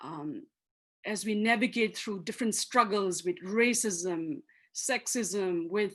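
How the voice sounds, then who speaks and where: A woman's medium-pitched voice with a Manipur accent. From Manipur, Northeast India. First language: Manipuri. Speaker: activist and author. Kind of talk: lecture. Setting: video call.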